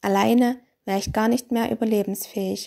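A woman at a moderate pace, in a very clean recording with a silent background. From Austria. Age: 30s. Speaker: chronically ill patient. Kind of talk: testimony.

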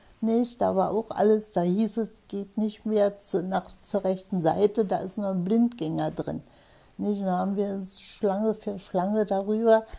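A woman's dark, mellow voice at medium pitch, monotone and flat, at a fairly slow pace. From Potsdam. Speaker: war eyewitness. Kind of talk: interview answer. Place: home room.

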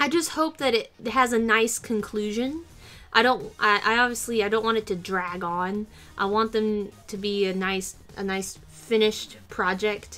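Her tone bright and sharp, a woman speaks at a fairly slow pace. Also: ordinary pitch variation. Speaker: vlogger. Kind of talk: casual vlog chat. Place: home room. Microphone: webcam.

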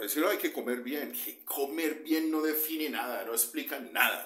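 There is audible room echo as a man with vocal fry speaks at a moderate pace against a quiet background. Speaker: nutrition coach. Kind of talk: casual vlog advice. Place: home room. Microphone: phone near.

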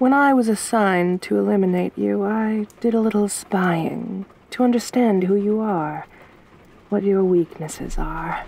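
A soft-spoken woman's menacing tone at a fairly slow pace, with very even loudness, ordinary pitch variation and a dry sound with no echo. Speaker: ASMR roleplay performer. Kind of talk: asmr roleplay, intimate whispery-soft in-character monologue. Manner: soft-spoken, slow and teasing, menacing yet flirtatious.

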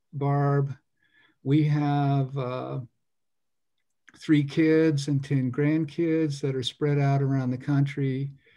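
Against a quiet background, a man talks very slowly in a dark, mellow tone with flat, monotone intonation. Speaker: meeting host. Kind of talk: meeting introduction. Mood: friendly, welcoming. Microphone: video call.

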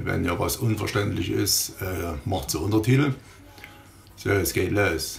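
Over music in the background, a man speaks at a fairly slow pace at a very deep, low pitch with lively intonation. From Saxony. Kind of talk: humorous voice-over commentary.

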